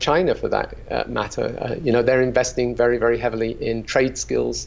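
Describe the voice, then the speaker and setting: Here a man talks with a British accent. His pace is moderate. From UK. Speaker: company founder. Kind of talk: interview. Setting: video call.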